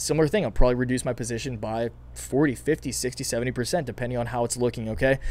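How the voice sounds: The voice is raspy and strained, moving at a fast pace. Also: man.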